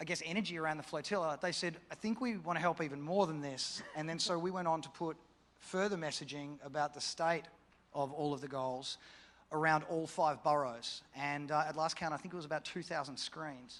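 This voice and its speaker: The man's fairly high voice moves at a fairly quick pace with fairly even intonation. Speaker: campaign organiser. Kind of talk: panel discussion.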